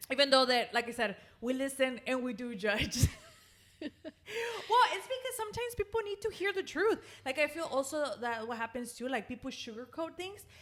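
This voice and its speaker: Loud and high-pitched, a woman speaks at a moderate pace with very wide pitch swings over noticeable background noise. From Mexican-American household, US. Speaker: podcast host. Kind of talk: casual chat. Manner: animated.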